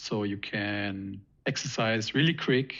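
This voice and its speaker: A man speaks with a non-native accent and fairly even intonation. The background is quiet. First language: not English. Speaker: trading educator. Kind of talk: live stream discussion. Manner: halting.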